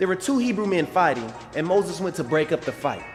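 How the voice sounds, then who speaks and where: Music plays in the background as a man speaks at a fairly quick pace. His high voice makes very wide pitch swings. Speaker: preacher, motivational speaker. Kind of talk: sermon-style motivational talk to camera.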